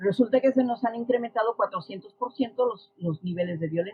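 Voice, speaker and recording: A woman speaks at a moderate pace in a plain, everyday voice with lively intonation. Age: 60s. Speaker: social science expert. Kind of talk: podcast interview.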